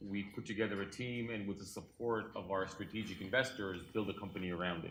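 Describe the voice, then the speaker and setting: Fairly low male speech, its intonation fairly even, with audible room echo. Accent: non-native. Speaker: cybersecurity company founder and investor. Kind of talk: conference panel talk.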